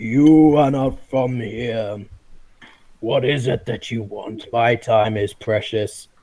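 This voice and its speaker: A booming, put-on character voice from a man, medium in pitch, at a very slow pace. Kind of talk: stern, dismissive.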